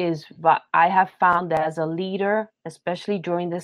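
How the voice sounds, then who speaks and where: Fairly low-pitched, fairly even intonation from a woman with a New York accent. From Brooklyn, New York, Puerto Rican family. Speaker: theological education leader and pastor. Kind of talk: interview.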